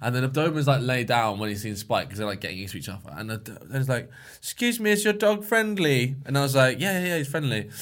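A British accent at a very fast pace, hardly any pauses, very wide pitch swings, and big swings in loudness. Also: man, medium pitch for a man. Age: 20s. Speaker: podcast host. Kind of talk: casual chat.

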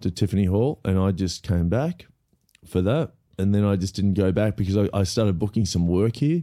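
In an Australian accent, a man talks at a fairly quick pace with a fairly low pitch, ordinary pitch variation, a dark, mellow tone and very even loudness, on a very clean recording with a silent background. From Australia, Melbourne. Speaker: comedian and actor. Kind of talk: casual interview chat. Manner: laid back.

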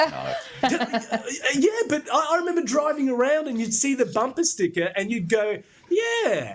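Someone with an Australian accent speaks at a fairly slow pace, pitch swinging very widely. Noticeable background noise runs underneath. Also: man, extremely high pitch for a man. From Brisbane, Australia. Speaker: comedy segment contributor. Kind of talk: casual chat.

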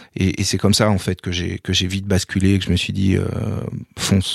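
A man's fairly low voice at a very fast pace, in a very clean recording with a silent background. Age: 40s. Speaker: sports journalist and rugby commentator. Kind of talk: interview testimony. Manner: halting, frequent repetitions.

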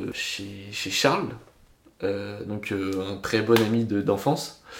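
The speech moves at a very slow pace. Audible room echo and noticeable background noise fill the recording. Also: man. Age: 20s. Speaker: DJ. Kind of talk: casual chat.

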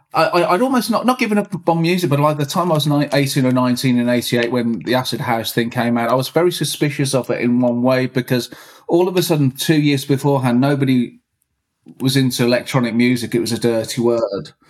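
Talking at a fairly quick pace, a man with a Birmingham accent keeps a medium pitch and ordinary pitch variation. His loudness stays very even. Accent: Birmingham (Brummie) English. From Birmingham, England. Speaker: techno producer and DJ. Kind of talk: casual interview.

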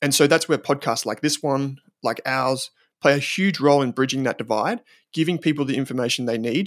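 A medium-pitched man talks at a fairly quick pace with fairly even intonation. The recording is very clean, with a silent background and a dry, close sound with no echo. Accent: Australian. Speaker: investment company founder. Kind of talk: podcast interview.

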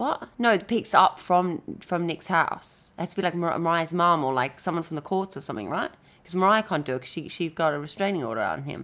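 A woman speaks very fast with lively intonation. Her fairly low voice carries vocal fry. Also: hardly any pauses. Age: 30s. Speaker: podcast co-host. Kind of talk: casual chat.

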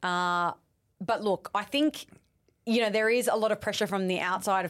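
A woman's pitch varies in an ordinary way on a very clean recording with a silent background. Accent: Australian. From South West Sydney, Australia. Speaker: reality TV personality. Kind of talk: casual chat.

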